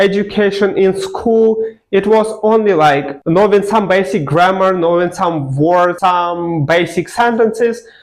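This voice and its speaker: Fairly slow and high-pitched, a man with a non-native accent speaks at very even loudness, with ordinary pitch variation. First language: not English. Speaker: language learning vlogger. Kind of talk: personal story to camera. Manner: casual, filler-heavy.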